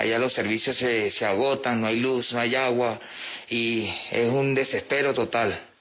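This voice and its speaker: A man with a Venezuelan accent speaks at a medium pitch in a monotone, flat intonation amid noticeable background noise. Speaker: refugee. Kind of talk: testimony. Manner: halting.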